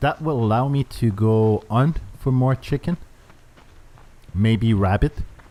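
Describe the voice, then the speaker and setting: In a Quebec accent, a man speaks fairly slowly at a medium pitch with a dark, mellow tone. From Canada. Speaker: gaming YouTuber. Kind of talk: gameplay commentary. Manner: hesitant, many fillers.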